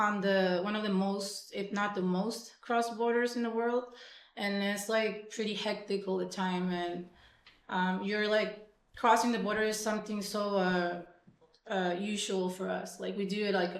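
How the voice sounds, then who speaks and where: Audible room echo surrounds a woman speaking fairly slowly at medium pitch in a flat, monotone way. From Mexico, Tijuana. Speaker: punk musician. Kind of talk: casual interview. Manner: hesitant, many fillers.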